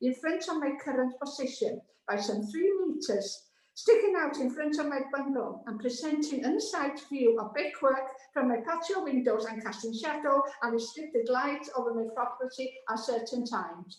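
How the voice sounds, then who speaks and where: With a Welsh accent, a woman speaks at a moderate pace in a high pitch with lively intonation. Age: 70s. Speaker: objecting neighbour, public speaker. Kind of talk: public objection statement at planning committee. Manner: reading prepared statement.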